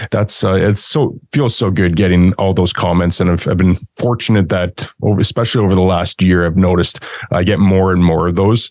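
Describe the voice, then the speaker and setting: A man with a very deep, low pitch and a Canadian accent, very even loudness, and a dry, close sound with no echo. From Canada. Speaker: industrial real estate broker and investor. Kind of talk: interview.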